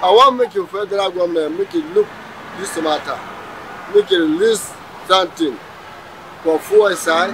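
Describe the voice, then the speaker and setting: A man with a high pitch and ordinary pitch variation speaks at a moderate pace, leaving long, frequent pauses. The sound is dry with no echo, and noticeable background noise is present. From Nigeria. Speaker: goat seller. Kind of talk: street interview. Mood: complaining, pleading. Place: market. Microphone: handheld.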